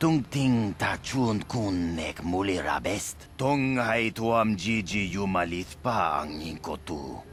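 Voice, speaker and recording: A man puts on a character voice at a very deep, low pitch. He goes at a fairly slow pace over clear background noise. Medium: video game.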